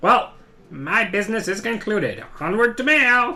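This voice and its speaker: The speaker uses a put-on character voice with lively intonation. The pace is moderate. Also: man, extremely high pitch for a man. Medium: game stream. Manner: formal, pompous.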